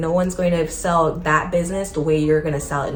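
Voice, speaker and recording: A woman races through her words at a very fast pace, with noticeable background noise and audible room echo around her. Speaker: small business owner and vlogger. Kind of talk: casual advice vlog.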